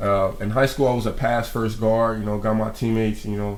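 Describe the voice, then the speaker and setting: A man with an American accent speaks at a fairly low pitch, and some room echo can be heard. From Peoria, Illinois, US. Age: young. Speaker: college basketball player. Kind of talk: interview.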